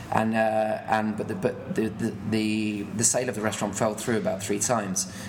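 Hardly pausing, a man speaks at a moderate pace with a fairly low pitch and monotone, flat intonation, amid noticeable background noise and audible room echo. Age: 30s. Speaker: chef and restaurant owner. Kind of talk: interview. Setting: restaurant mezzanine.

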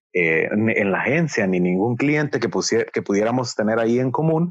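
The voice swings very widely in pitch at a fairly slow pace. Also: man. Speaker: podcast co-host, marketing consultant. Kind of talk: casual conversational storytelling.

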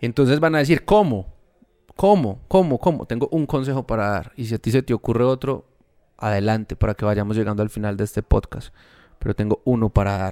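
On a very clean recording with a silent background, a man with a normal speaking voice talks at a fairly quick pace and medium pitch, with ordinary pitch variation and a dry, close sound with no echo. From Colombia, Medellín. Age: 30s. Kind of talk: casual faith conversation.

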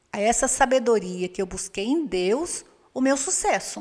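A woman's voice with lively intonation. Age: 50s. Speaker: church women's ministry leader. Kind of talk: casual chat.

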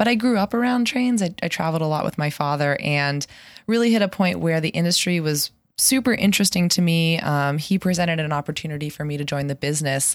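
A woman speaks very fast with a fairly low voice and an American accent. Her intonation is lively, and the recording is very clean with a silent background. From Pittsburgh, US. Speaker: spin instructor and railroad business worker. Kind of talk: casual interview.

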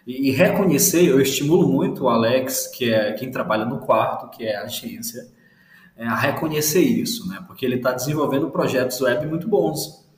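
His pitch swinging very widely, a man with a fairly high voice speaks at a moderate pace amid noticeable background noise. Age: 30s. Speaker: brand designer. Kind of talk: casual interview chat.

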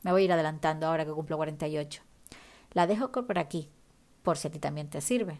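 A woman's voice is captured on a very clean recording with a silent background. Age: 40s. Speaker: podcast host and writer. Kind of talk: reading aloud a list; solo podcast monologue.

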